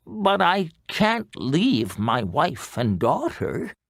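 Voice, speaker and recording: A man's put-on character voice, fairly high-pitched with very wide pitch swings, at a very slow pace, in a very clean recording with a silent background. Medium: read story.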